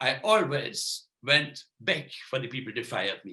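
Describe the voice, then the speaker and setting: A man speaks very slowly with vocal fry. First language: non-English. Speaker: magician. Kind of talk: lecture. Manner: halting.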